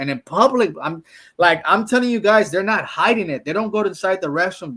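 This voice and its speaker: A man with a Mexican accent speaks in an animated tone at a fairly quick pace, with ordinary pitch variation. The recording is very clean, with a silent background. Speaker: travel vlogger. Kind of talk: casual chat.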